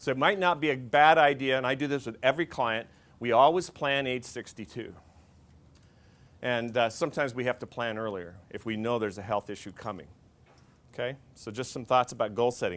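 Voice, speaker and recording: A man speaks in an unremarkable speaking voice. His pitch varies in an ordinary way. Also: medium pitch for a man, fairly quick pace. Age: 60s. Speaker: financial planner. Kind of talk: seminar talk to an audience. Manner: conversational, many fillers and restarts.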